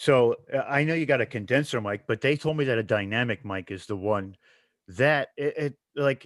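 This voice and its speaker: Recorded very cleanly against a silent background, with a dry, close sound and no echo, a man with an American accent talks at a moderate pace, medium in pitch with ordinary pitch variation. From Long Island, New York. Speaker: podcast host. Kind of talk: casual chat.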